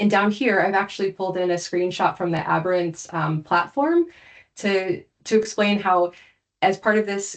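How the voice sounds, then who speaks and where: The woman's voice sits at a medium pitch. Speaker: cybersecurity compliance consultant. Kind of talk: webinar presentation. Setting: online webinar with screen share. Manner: fast.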